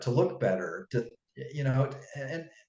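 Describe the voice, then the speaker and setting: A man is speaking. His pace is fairly slow. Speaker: fitness coach and author. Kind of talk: interview.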